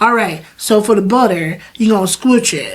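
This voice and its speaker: A woman's animated tone over noticeable background noise. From US South, Wilmington, North Carolina. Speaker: chef and food business owner. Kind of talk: interview conversation.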